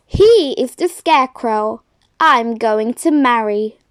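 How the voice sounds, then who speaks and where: In a put-on character voice, a woman speaks at a high pitch and a very slow pace. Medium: read story.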